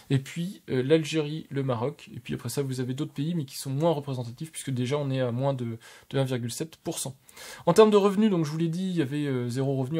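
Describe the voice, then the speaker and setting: A man speaks at a fairly quick pace in a fairly high pitch with ordinary pitch variation. His tone is dark and mellow and somewhat breathy, on a very clean recording with a silent background. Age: 30s. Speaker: tech YouTuber. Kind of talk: casual video review of channel statistics. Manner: hesitant, many fillers.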